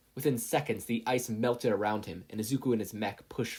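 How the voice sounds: The speaker uses a natural reading voice.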